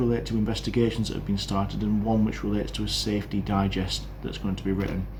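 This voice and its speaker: With a British accent, a man talks at a fairly quick pace amid noticeable background noise and audible room echo. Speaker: podcaster on railway safety. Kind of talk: casual monologue update. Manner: fast.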